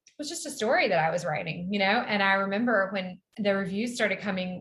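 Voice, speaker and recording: A woman with a Southern US accent, medium in pitch and fairly quick in pace. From US South. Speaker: novelist. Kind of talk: interview. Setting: video call from a hotel room.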